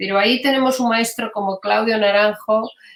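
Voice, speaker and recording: At a moderate pace, the speaker uses fairly even intonation in a Catalan accent. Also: woman. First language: Catalan (speaking Spanish). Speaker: gestalt psychotherapist. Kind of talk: interview. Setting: live stream. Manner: hesitant, many fillers.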